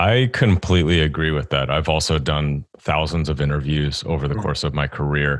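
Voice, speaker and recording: A man speaks with a very deep, low pitch and vocal fry, hardly any pauses and very even loudness, on a very clean recording with a silent background. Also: ordinary pitch variation, moderate pace. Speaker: podcast host and career coach. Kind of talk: interview.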